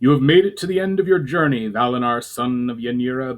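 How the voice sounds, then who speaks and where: A put-on character voice, resonant and booming, with lively intonation at a fairly quick pace. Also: man, medium pitch for a man. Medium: read story. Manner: formal, grave.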